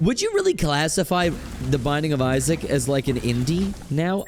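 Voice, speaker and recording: With music playing in the background, a man talks in a fairly high pitch. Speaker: gaming YouTuber. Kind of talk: gameplay commentary. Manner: casual, thinking aloud.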